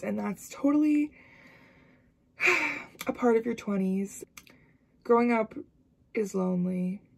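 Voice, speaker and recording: Against a quiet background, a woman talks at a moderate pace and a medium pitch. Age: 20s. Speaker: university student. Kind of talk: casual vlog talk to camera. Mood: reflective, candid. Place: home room. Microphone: phone near.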